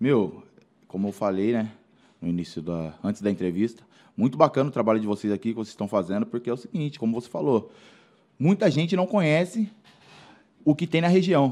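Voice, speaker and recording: Using a dark, mellow tone and a medium pitch, a man speaks at a fairly quick pace with very wide pitch swings and long, frequent pauses. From Brazil, Mairinque (São Paulo state). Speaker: former athlete and musician. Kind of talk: casual interview chat. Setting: studio.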